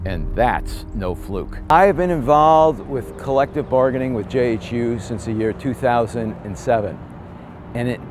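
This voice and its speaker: Over music in the background, a man speaks at a very slow pace with lively intonation. The sound is dry with no echo. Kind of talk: interview answer. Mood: indignant advocacy. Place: street. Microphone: lapel.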